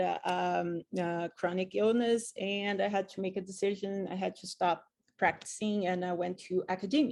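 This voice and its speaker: A woman with a Portuguese accent speaks at a medium pitch. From Brazil. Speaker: physician and professor. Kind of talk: casual interview. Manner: halting, many fillers.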